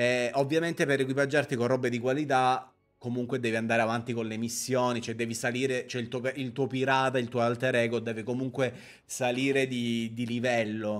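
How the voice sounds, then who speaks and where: With monotone, flat intonation, the man's speech moves at a fairly quick pace. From Sicily, Palermo; Sicily. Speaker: streamer. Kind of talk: live gameplay stream chat. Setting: live stream. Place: home room. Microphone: studio mic.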